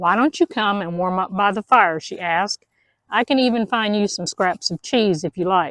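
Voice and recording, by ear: Here, the text is heard reading aloud in a natural voice. Nothing disturbs the quiet background.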